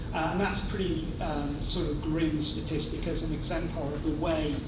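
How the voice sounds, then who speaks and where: Amid loud background noise and audible room echo, a man speaks. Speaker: university institute director. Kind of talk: welcome speech. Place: hall. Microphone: podium.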